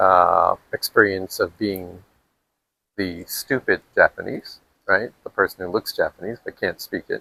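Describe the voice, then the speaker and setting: In a dry, close sound with no echo, a man with an American accent speaks at a fairly slow pace. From US, New York. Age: 60s. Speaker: retired executive turned entrepreneur. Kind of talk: interview.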